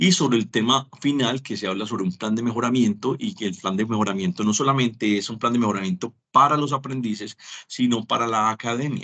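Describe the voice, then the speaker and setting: Speaking at a fairly quick pace, a man has a bright, sharp tone, medium pitch and ordinary pitch variation. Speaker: teacher. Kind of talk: lecture.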